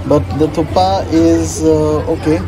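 A man speaks at a very slow pace. Crowd noise fills the background. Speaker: food vlogger. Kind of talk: casual food review. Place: cafe. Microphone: phone near.

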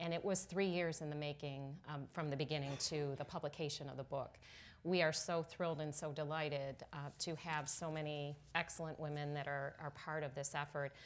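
A woman talks at a fairly quick pace in a very deep, low pitch. Her intonation is monotone and flat. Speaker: panelist. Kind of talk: panel talk. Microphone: lapel.

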